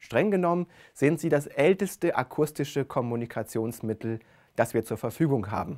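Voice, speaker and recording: Over a quiet background, a man speaks at a moderate pace. His pitch is fairly high and his intonation lively. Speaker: speech researcher; lecturer on speech. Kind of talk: lecture. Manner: expressive intonation. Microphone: lapel.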